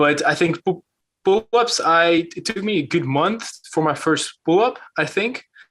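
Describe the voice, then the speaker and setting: This man has a Dutch accent and lively intonation. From Netherlands. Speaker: calisthenics YouTuber. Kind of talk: podcast interview. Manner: hesitant, many fillers.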